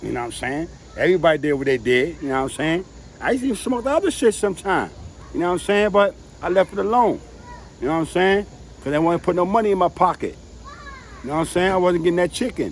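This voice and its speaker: With lively intonation and long, frequent pauses, a high-voiced man speaks at a very fast pace over noticeable background noise. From New York City, the Bronx. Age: 60s. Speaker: family member interviewee. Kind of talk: casual chat.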